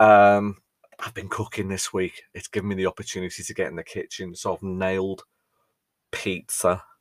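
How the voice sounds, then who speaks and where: A man with a fairly low pitch talks at a moderate pace in a monotone, flat delivery, his loudness swinging widely. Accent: British. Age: 40s. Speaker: podcast host and mental health first aid trainer. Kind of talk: casual monologue.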